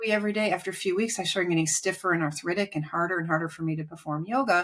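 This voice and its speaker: In a very clean recording with a silent background, a woman talks very fast at a medium pitch with ordinary pitch variation. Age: 60s. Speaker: author and health expert. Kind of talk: interview.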